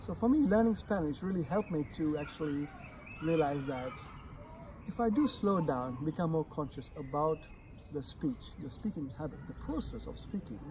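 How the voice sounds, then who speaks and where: Noticeable background noise accompanies a man with a slight non-native accent who talks at a moderate pace in a fairly high voice with lively intonation. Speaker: guest with a stutter. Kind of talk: podcast interview. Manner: stuttering.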